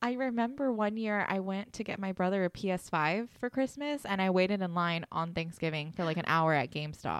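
Using a plain, everyday voice, a woman of medium pitch speaks at a fairly quick pace. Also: lively intonation, hardly any pauses. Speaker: podcast host. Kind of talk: casual chat.

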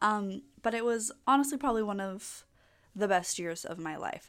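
With music playing behind her, a woman speaks at a fairly quick pace in an upbeat tone. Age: 20s. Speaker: podcast host and permanent makeup business owner. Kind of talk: solo casual podcast monologue. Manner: chatty, upbeat with frequent laughs and fillers.

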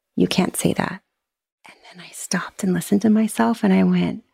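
Somewhat breathy and dark, mellow in tone, a woman speaks at a medium pitch with ordinary pitch variation on a very clean recording with a silent background. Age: 40s. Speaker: podcaster sharing divorce story. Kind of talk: interview testimony.

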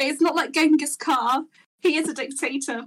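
The speaker is a woman. Her accent is British. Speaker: podcast co-host. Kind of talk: casual banter among friends. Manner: joking, teasing.

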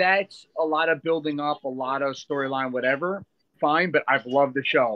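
With a plain, everyday voice, a man speaks at a moderate pace, pitched fairly high with ordinary pitch variation. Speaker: podcast host. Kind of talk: casual chat.

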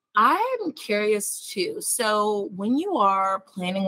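A woman speaks with lively intonation at a medium pitch. The sound is dry and close, with no echo. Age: 30s. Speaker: podcast host and lifestyle blogger. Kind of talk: interview. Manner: animated.

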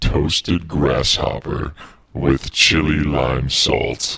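A man speaks in a put-on character voice, very deep and low in pitch, at a very slow pace. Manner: creepy, horror-villain-like.

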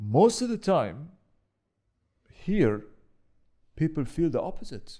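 A man speaks very slowly in an Arabic accent, his fairly high pitch swinging very widely, with a dark, mellow tone and vocal fry. Long, frequent pauses break up his speech, and the recording is very clean with a silent background. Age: 40s. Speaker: real estate professional. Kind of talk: casual chat. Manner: halting, many repetitions.

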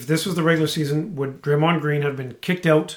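A man talks at a fairly quick pace in a fairly high pitch. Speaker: podcast co-host. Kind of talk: casual chat. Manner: loud; animated.

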